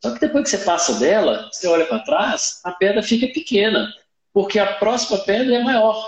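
Pitched high for a man, this male voice shows ordinary pitch variation. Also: moderate pace. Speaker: solar company founder. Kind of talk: live-streamed interview.

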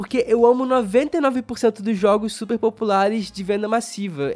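Music in the background behind a man's high-pitched voice at a moderate pace. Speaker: board game podcast host. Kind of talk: solo review podcast.

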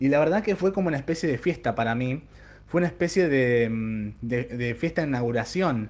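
Using a normal speaking voice, a man speaks with lively intonation at a moderate pace. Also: medium pitch for a man. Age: 30s. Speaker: tarot reader and podcast host. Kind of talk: solo podcast monologue.

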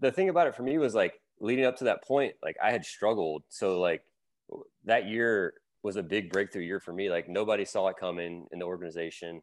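Over a quiet background, a man with an American accent talks at a fairly quick pace in an unremarkable speaking voice, his fairly low pitch carried by lively intonation. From US South, Louisiana. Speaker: former pro baseball player. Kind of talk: casual chat.

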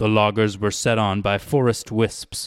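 Fairly low in pitch, a man with an ordinary speaking voice talks at a fairly slow pace. The sound is dry and close with no echo, on a very clean recording with a silent background. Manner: measured, storyteller's tone.

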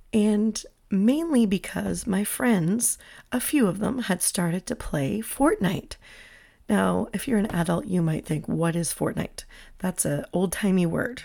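Vocal fry and a dark, mellow tone, lively intonation at a fairly slow pace, on a very clean recording with a silent background. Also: woman, medium pitch for a woman. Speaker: podcast host. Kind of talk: casual solo podcast talk. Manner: chatty, with laughs.

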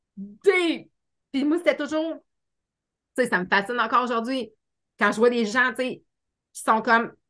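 In a Quebec accent, a woman talks at a moderate pace in a high, bright, sharp voice with an animated tone, lively intonation, big swings in loudness and long, frequent pauses. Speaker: life coach and hypnotherapist. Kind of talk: casual interview chat.

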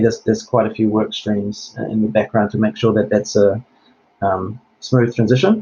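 A somewhat breathy man at medium pitch talks at a fairly quick pace, with fairly even intonation and very even loudness. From Germany, Hamburg. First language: German. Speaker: health IT executive. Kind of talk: interview. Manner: hesitant, repeats words.

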